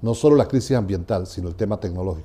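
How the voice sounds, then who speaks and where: Lively intonation marks this man's speech. His tone is dark and mellow. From Venezuela. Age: 60s. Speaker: education researcher. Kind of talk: interview. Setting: university venue. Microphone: lapel.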